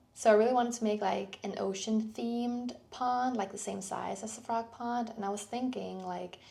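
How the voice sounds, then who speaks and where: With a Danish accent, a woman speaks at a moderate pace with hardly any pauses, in a fairly high pitch with monotone, flat intonation and a dark, mellow tone. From Denmark. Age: 20s. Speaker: clay artist vlogger. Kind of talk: tutorial. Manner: casual, relaxed.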